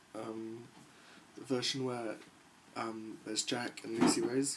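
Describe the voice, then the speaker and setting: Over noticeable background noise, a man talks very slowly at a medium pitch in a monotone, flat way. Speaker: guitar tutorial maker. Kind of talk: guitar lesson talk to camera. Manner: hesitant, many fillers.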